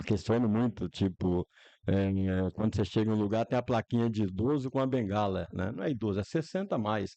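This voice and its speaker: A man talks at a fairly quick pace in a fairly low, dark, mellow voice with ordinary pitch variation, the sound dry and close with no echo over a quiet background. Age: 60s. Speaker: local politician. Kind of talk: podcast interview. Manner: halting.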